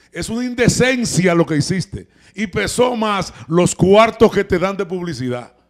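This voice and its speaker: Against a quiet background, a man with a Dominican accent talks loudly and at a fairly slow pace, his voice high for a man, his tone animated and his intonation lively. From Dominican Republic. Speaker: TV talk show host. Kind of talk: heated commentary. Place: studio. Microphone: handheld.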